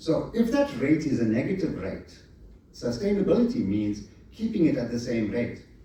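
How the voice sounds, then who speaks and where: The voice moves through very wide pitch swings, with audible room echo. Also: man. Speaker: conference speaker on architecture. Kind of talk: conference presentation. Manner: fast.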